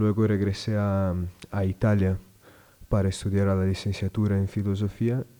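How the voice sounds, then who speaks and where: A man's fairly low-pitched voice with a Portuguese accent, dark, mellow tone and fairly slow pace. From southern Brazil, Rio Grande do Sul. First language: Portuguese (speaking Spanish). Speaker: religious brother working at a school. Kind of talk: radio interview. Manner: halting, frequent repetitions.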